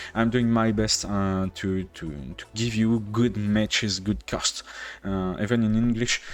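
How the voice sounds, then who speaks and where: In a French accent, a man speaks at a fairly slow pace. His pitch is fairly low. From France. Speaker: game streamer and caster. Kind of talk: live game commentary stream. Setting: live stream. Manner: halting, many fillers.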